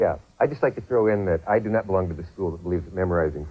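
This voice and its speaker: Somewhat breathy, a man's voice sits very deep and low in pitch. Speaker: talk show host. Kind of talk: infomercial host talk.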